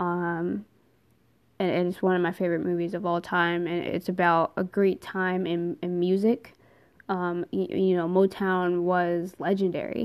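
A woman with an American accent, fairly low pitch, fairly slow pace and monotone, flat intonation, on a very clean recording with a silent background. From New Jersey. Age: 20s. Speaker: podcast host and social worker. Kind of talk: casual monologue. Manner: casual, many filler words.

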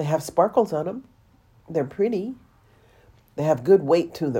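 A woman speaks slowly-ish, at a fairly slow pace, in an American accent with a very deep, low pitch. Her tone is dark and mellow, her intonation lively. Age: 60s. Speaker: podcast host. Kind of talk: monologue podcast, spiritual talk.

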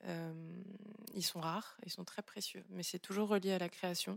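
Dry and close with no echo, a woman's medium-pitched voice moves at a fairly slow pace. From Gabon. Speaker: artist. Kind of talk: public book club discussion. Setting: live venue with audience.

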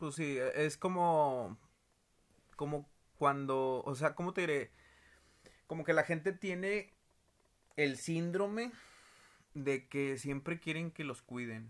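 A man's very slow, fairly high voice in a northern Mexican accent, with ordinary pitch variation and long, frequent pauses. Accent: northern Mexican (Monterrey). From Mexico, Monterrey. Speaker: co-host, musician, father. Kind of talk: casual family chat.

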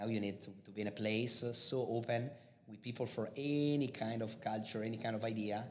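In an Italian accent, a man speaks at a fairly quick pace and medium pitch with fairly even intonation. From Italy, near Milan. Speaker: digital marketing professor and CEO. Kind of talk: interview, storytelling about career.

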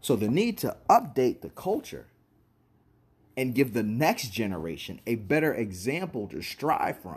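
At a fairly slow pace, a man speaks with an animated tone and vocal fry. His medium pitch swings very widely. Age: 30s. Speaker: podcast host. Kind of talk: casual monologue.

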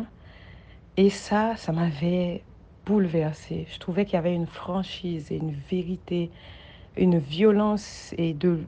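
At a fairly slow pace, a woman speaks with fairly even intonation and a dark, mellow tone. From Haiti. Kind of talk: recorded testimony.

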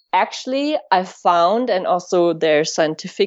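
Speaking with a German accent, a woman has a medium pitch and lively intonation at a moderate pace. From Germany. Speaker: tantra and sex educator. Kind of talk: interview. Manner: halting.

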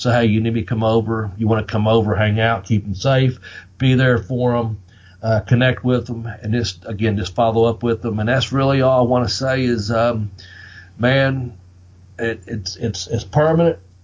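The voice comes in a Southern Appalachian accent at a moderate pace. It sounds somewhat breathy. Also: man, medium pitch for a man. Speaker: wrestling podcast host. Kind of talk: casual, profane podcast chat. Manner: animated, profane.

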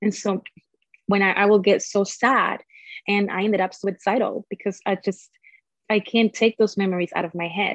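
Monotone, flat intonation marks a woman's voice at a medium pitch and moderate pace. The sound is dry and close with no echo. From Nicaragua. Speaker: abuse survivor sharing her story. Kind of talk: personal testimony in interview.

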